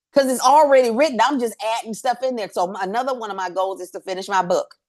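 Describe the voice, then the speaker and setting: A loud woman with a fairly high pitch sounds animated. Her pitch swings very widely. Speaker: workshop facilitator. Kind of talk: workshop talk. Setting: livestream.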